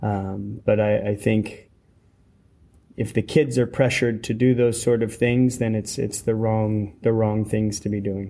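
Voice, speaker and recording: With a Californian accent, a man speaks slowly enough to count as fairly slow, his tone dark and mellow and his intonation monotone and flat. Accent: American (Californian). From California, US. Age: 30s. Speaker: professional track cyclist. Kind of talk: interview. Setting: at a cycling event. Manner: halting.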